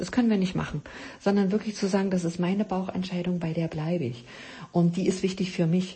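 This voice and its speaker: A woman talks at a fairly quick pace in a medium pitch. Her intonation is fairly even, and she has an unremarkable speaking voice. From East Germany. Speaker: podcast host, health coach. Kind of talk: solo podcast talk. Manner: many filler sounds.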